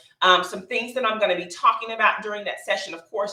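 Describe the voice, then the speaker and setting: A woman speaks at medium pitch and a very fast pace amid noticeable background noise. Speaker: public health business consultant and mentor. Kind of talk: live webinar presentation. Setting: livestream with chat and screen share.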